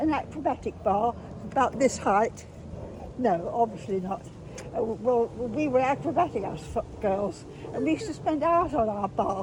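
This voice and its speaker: Against noticeable background noise, a woman talks at a moderate pace in a fairly high voice with very wide pitch swings. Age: 90s. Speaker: elderly woman revisiting childhood places. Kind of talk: casual chat.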